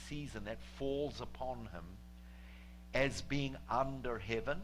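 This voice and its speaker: Fairly slow speech from a man, carrying audible room echo. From New Zealand. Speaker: guest preacher. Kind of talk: sermon. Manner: halting, many fillers.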